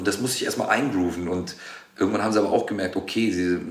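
Amid noticeable background noise and audible room echo, a man talks at a very fast pace with fairly even intonation. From Germany, Cologne. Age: 30s. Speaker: actor. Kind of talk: casual chat.

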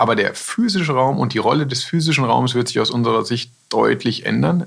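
At a fairly quick speed a man talks, with noticeable noise behind him. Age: 40s. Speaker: company managing director. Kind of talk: business interview. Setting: studio.

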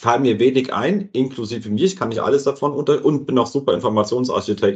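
Somewhat breathy and medium in pitch, a man talks at a fairly quick pace with lively intonation. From southern Hesse. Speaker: podcast host. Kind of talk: casual interview.

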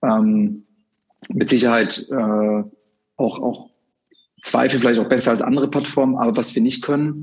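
A medium-pitched man at a moderate pace with fairly even intonation. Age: 30s. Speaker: software sales director, former restaurant professional. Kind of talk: interview.

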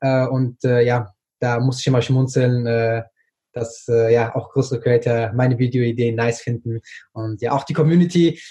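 A man's somewhat breathy voice of medium pitch, dark and mellow in tone, with fairly even intonation and a fairly slow pace. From Germany, Frankfurt am Main. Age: 20s. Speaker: TikTok creator. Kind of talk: interview. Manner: hesitant, many fillers.

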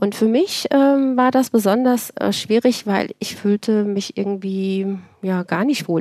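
A woman talks at a fairly slow pace in a medium pitch. Noticeable background noise runs behind her. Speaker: cardiologist and start-up founder. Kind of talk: interview.

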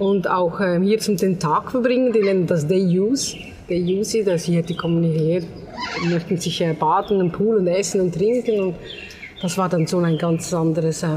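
Noticeable background noise accompanies a woman speaking at a moderate pace. Her medium-pitched voice stays fairly even in intonation. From Switzerland. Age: 50s. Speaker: hotel owner, emigrant. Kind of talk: interview. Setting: on location at her hotel. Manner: halting.

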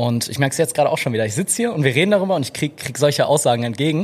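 A man with a fairly high pitch speaks very fast with lively intonation. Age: 20s. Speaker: content creator and photographer. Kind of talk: casual interview chat. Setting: live podcast with small audience in a café.

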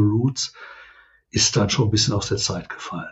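The speaker is a man with a somewhat breathy voice. His intonation stays fairly even. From Ruhr area, Germany (Oberhausen). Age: 60s. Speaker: welfare association director. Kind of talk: interview conversation.

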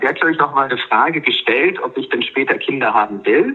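A man speaks over noticeable background noise. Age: 30s. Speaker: cancer survivor sharing breakup story. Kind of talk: personal testimony in interview. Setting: remote call over Skype.

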